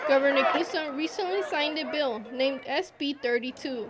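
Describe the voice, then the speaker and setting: Noticeable background noise sits behind a woman with a high voice. She speaks at a moderate pace with ordinary pitch variation. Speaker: multimedia journalist, news reporter. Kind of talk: broadcast news reporter narration.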